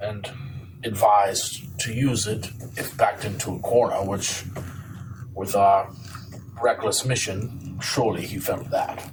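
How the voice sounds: Slow and fairly low-pitched, a man speaks with fairly even intonation and long, frequent pauses. Room echo can be heard.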